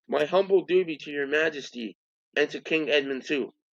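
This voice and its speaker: A man's put-on character voice, shrill and fairly high-pitched, at a fairly quick pace. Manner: courtly, gallant.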